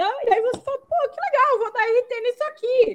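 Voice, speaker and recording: At a moderate pace, a woman speaks in an extremely high pitch. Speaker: content creator. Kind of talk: casual chat.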